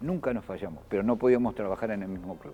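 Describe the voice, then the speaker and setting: Music plays behind a man with an Argentine accent and fairly low pitch. He talks at a fairly quick pace with lively intonation. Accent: Argentine Spanish (rioplatense voseo). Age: 60s. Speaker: former basketball player and sports official. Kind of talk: TV interview. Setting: empty basketball court.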